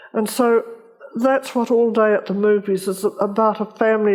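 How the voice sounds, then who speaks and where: Noticeable background noise sits behind a woman with a New Zealand accent. Her pitch is fairly high and her pace moderate. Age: 80s+. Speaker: novelist. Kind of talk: festival interview. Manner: halting.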